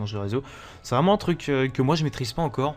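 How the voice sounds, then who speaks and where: A man speaks at a very fast pace. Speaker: gaming youtuber. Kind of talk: gameplay commentary. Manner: fast, talks non-stop; hesitant, many fillers.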